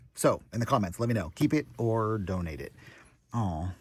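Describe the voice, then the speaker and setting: A fairly low-pitched man with lively intonation and an animated tone. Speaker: vlogger. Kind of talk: casual vlog talk. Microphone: poor audio.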